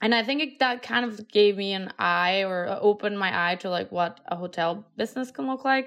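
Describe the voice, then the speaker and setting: In a Colombian accent, a woman with a medium-pitched voice speaks with ordinary pitch variation against a quiet background. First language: Spanish. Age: 30s. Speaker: entrepreneur. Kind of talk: interview.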